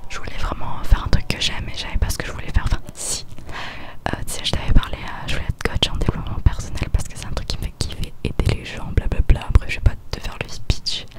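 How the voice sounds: A woman is whispering at a fast pace.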